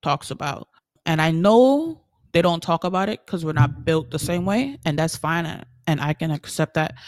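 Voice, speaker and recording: A woman in a Caribbean accent, fairly low-pitched, with lively intonation at a moderate pace, in a dry, close sound with no echo. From US Virgin Islands. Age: 20s. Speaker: podcaster. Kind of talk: casual personal monologue. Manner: candid, conversational.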